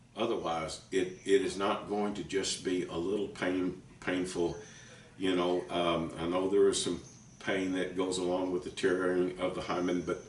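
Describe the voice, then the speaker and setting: Amid noticeable background noise and audible room echo, a man speaks at a moderate pace with a very deep, low pitch and monotone, flat intonation. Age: 60s. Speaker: author and preacher. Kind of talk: teaching talk to camera. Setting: at home kitchen table. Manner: halting, stumbling over words.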